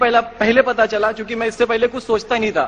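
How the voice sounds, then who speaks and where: Amid noticeable background noise, a man talks at a moderate pace with an extremely high pitch and fairly even intonation. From eastern Uttar Pradesh, Kanpur. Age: 20s. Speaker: convert giving testimony. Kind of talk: testimony. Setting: conference hall with audience.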